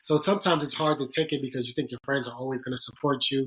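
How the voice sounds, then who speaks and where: In an American accent, a man with a fairly high pitch talks at a very fast pace. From US Northeast, Bronx New York. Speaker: sports agent. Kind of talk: podcast interview. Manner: halting.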